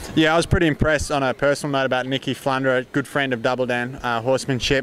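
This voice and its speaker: A man speaks very fast at medium pitch with monotone, flat intonation, over noticeable background noise. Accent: Australian. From Western Australia. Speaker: horse trainer. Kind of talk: casual interview. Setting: horse expo event, Canada.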